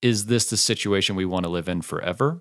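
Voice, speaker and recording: A man with an American accent and an ordinary speaking voice talks at a fairly quick pace with a fairly low pitch and ordinary pitch variation. The sound is dry and close with no echo, on a very clean recording with a silent background. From United States. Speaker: software founder, podcaster. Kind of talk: casual chat.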